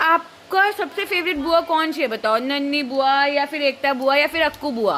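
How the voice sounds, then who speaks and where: A woman's high-pitched voice, fairly slow in pace, with ordinary pitch variation. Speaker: family vlogger. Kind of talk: casual vlog chat. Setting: at home.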